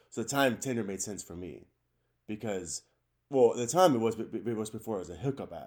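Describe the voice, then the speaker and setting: A man's plain, everyday voice at medium pitch, with an American accent, lively intonation and big swings in loudness. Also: fairly quick pace, very clean recording, silent background. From Washington State, US. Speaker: podcast co-host, construction superintendent. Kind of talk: casual chat.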